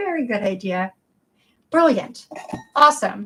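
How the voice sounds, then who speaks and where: With a bright, sharp, animated tone, a woman talks at a fairly slow pace, her pitch swinging very widely. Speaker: doll collector streamer. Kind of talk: casual livestream chat.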